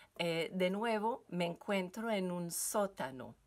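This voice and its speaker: A woman with a French Canadian accent talks very slowly at a fairly low pitch with ordinary pitch variation, on a very clean recording with a silent background. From French Canada. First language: French (speaking Spanish). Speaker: yoga teacher and wellness coach. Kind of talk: recorded seminar talk. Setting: basement at home. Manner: halting, with many fillers.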